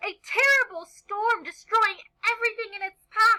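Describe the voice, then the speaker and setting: A woman uses a put-on character voice, squeaky and extremely high in pitch, at a moderate pace. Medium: read story. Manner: warm, patient.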